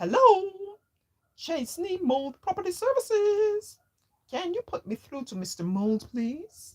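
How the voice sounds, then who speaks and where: In a put-on character voice, someone speaks squeaky and extremely high, swinging very widely in pitch at a fairly slow pace. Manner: happy and busy.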